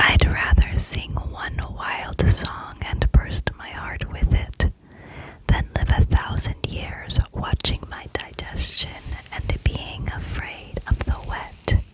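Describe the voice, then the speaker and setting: The words are whispered very slowly. Behind them, background noise is noticeable. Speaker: ASMR creator. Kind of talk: reading literary quotes aloud, some repeated. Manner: whispered, soft, repetitive triggers.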